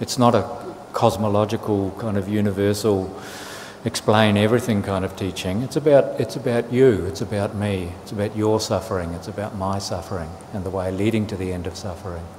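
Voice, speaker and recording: Noticeable background noise sits behind a man with a New Zealand accent. He talks at a fairly quick pace and a fairly low pitch with fairly even intonation. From New Zealand, Auckland. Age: 60s. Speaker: Buddhist monk. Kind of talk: dharma talk. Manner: halting, with fillers and repetitions.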